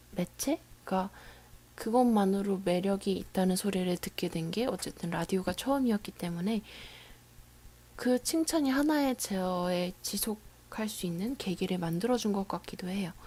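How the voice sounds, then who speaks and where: Somewhat breathy and dark, mellow in tone, a woman speaks at a fairly slow pace with lively intonation. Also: medium pitch for a woman. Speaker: radio DJ. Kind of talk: casual radio talk reading listener messages.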